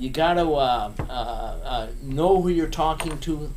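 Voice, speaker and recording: Noticeable background noise and audible room echo surround a man speaking at a fairly high pitch with ordinary pitch variation. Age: 70s. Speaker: recruiter. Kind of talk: casual rant to camera. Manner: halting, many fillers.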